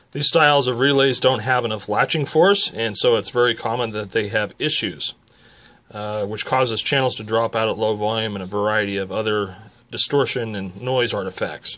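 This man's voice has a bright, sharp tone and ordinary pitch variation. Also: moderate pace. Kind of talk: tutorial. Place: workshop. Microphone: phone near.

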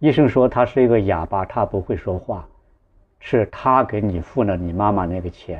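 A man's fairly low voice moves at a moderate speed, its pitch varying in an ordinary way. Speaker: online storyteller. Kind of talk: personal storytelling. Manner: halting, with repetitions and fillers. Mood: earnest, moved. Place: home room. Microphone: lapel.

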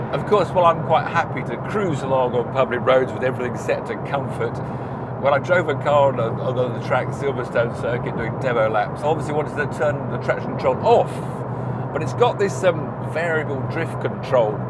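Over loud background noise, the speaker moves at a fairly quick pace with ordinary pitch variation. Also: man. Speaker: car reviewer driving. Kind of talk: commentary. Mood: mildly exasperated, amused. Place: car. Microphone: lapel.

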